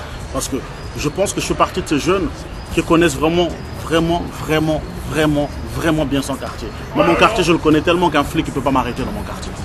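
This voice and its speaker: A man at a fairly quick pace with fairly even intonation and long, frequent pauses, over noticeable background noise. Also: fairly high pitch for a man. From Congo, then Paris suburbs (Val-de-Marne) from age 12. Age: 20s. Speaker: rapper. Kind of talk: interview. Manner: casual.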